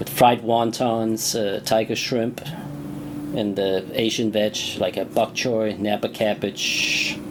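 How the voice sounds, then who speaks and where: Noticeable noise sits in the background as a man speaks at a very slow pace. His medium-pitched voice keeps fairly even intonation. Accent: Danish. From Denmark. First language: Danish. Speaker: chef. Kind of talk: video commentary. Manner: hesitant, many fillers.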